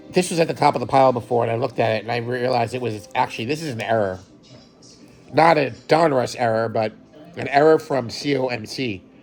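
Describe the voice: Music plays in the background as a man rattles off lines very fast in a hoarse, put-on character voice at a medium pitch.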